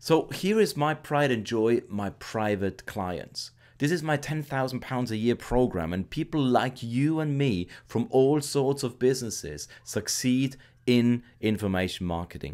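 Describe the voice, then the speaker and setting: On a very clean recording with a silent background, a man with a German accent speaks fairly slowly at a medium pitch, with lively intonation. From Austria. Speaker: internet marketer. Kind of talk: sales pitch.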